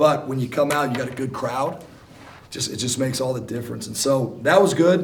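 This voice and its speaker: There is audible room echo around a man whose medium-pitched voice sounds somewhat breathy. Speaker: basketball coach. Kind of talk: press conference.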